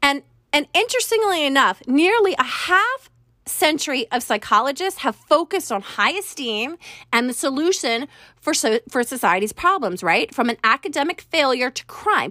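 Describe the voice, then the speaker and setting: A woman projects a raised voice at a high pitch, bright and sharp in tone with very wide pitch swings, in a dry, close sound with no echo. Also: moderate pace. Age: 40s. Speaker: podcast host and life coach. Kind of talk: solo podcast monologue. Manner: conversational, partly reading from notes.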